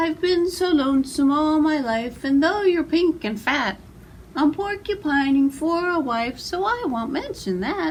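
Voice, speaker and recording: Putting on a squeaky character voice, a woman speaks high and at a moderate pace with lively intonation, clear background noise behind her. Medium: read story. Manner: lovesick.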